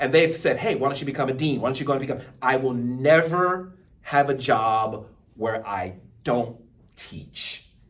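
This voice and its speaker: Audible room echo surrounds a man who speaks at medium pitch and moderate pace with lively intonation. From Texas, Baytown. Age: 50s. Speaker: college speech instructor. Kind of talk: lecture.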